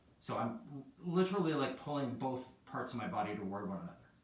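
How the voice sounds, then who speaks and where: A strained, shaky male voice at medium pitch, with vocal fry, very wide pitch swings and audible room echo. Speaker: yoga teacher. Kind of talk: guided yoga class. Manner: casual, conversational; strained, shaky while holding plank.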